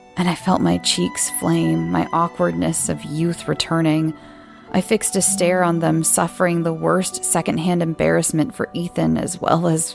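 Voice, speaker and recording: Music plays behind a woman speaking at a fairly slow pace. Her loudness stays very even. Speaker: podcast host and story narrator. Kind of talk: horror story narration.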